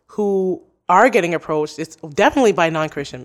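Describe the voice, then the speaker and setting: A woman with a fairly low pitch and ordinary pitch variation has an ordinary speaking voice. The recording is very clean with a silent background. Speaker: podcaster. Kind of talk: casual interview.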